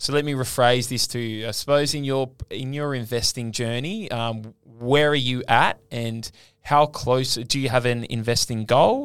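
A man with an Australian accent, medium pitch and fairly even intonation. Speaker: podcast host. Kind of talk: casual interview chat.

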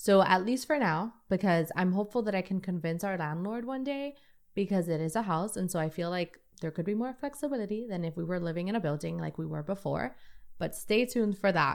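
A woman with an American accent, medium pitch and lively intonation at a fairly quick pace, in a very clean recording with a silent background. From New York City. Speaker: podcast host. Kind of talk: solo podcast monologue.

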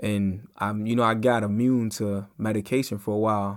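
Fairly low male voice, monotone and flat, in a very clean recording with a silent background. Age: 20s. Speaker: podcast host. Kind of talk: personal monologue. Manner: halting.

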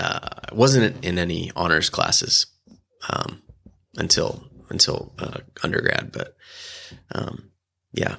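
With an American accent, a man speaks at a very slow pace, leaving long, frequent pauses. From Illinois, small farm town. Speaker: photographer and filmmaker. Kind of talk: casual chat.

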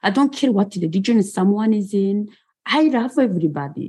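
A somewhat breathy woman speaks at a moderate pace. Her pitch swings very widely. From Rwanda. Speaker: genocide survivor and author. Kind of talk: interview, personal storytelling.

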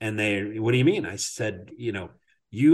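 Over a quiet background, a man speaks at a moderate pace. His voice is somewhat breathy, with lively intonation. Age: 50s. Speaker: podcast host. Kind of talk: casual interview chat. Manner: filler-heavy, conversational.

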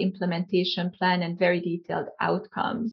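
At a moderate pace, a woman talks in a medium-pitched, somewhat breathy voice. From Hungary. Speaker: company founder and CEO. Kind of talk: interview. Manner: hesitant with frequent fillers.

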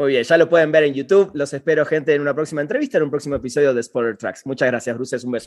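A man's pitch varies in an ordinary way. He talks very fast. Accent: Rioplatense. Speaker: podcast host. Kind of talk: interview. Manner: voseo, casual.

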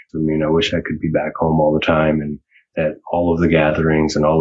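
In a monotone, flat intonation, a man with a very deep, low pitch speaks at a moderate pace. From Vancouver Island, British Columbia, First Nation. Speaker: filmmaker, comedian and poet. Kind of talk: interview.

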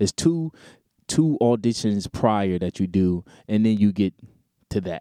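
A man with an American accent, fairly low pitch and a dark, mellow tone, lively intonation at a fairly slow pace with long, frequent pauses, in a dry, close sound with no echo on a very clean recording with a silent background. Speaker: podcast host and independent R&B singer. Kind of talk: casual monologue. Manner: animated, conversational.

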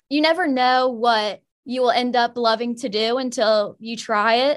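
A woman with an American accent has an ordinary speaking voice, fairly high pitch and ordinary pitch variation. She talks at a moderate pace over a quiet background. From Virginia. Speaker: college student. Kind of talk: interview.

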